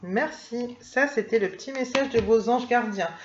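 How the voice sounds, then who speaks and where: Amid noticeable background noise, a woman speaks at a moderate pace in a high voice with ordinary pitch variation. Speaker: tarot and oracle card reader. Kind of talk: oracle card reading for viewers. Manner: hesitant, many fillers.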